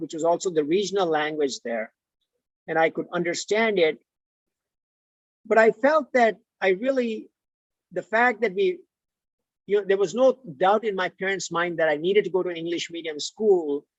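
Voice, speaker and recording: Long, frequent pauses break up this speech in an Indian accent. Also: moderate pace. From India, Mumbai. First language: Tulu. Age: 50s. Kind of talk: interview. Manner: halting.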